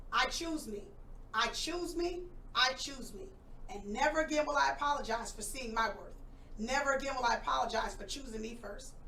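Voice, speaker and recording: The raised, projected voice moves with lively intonation and big swings in loudness, with audible room echo around it. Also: woman, high pitch for a woman. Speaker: school principal and poet. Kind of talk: interview; poetry reading. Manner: fast.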